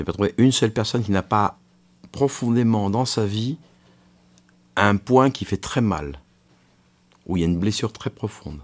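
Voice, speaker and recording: The recording is very clean with a silent background, carrying a man's fairly low voice at a moderate pace. He shows ordinary pitch variation and takes long, frequent pauses. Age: 60s. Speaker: physician. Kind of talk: counseling conversation. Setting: prison radio show recording.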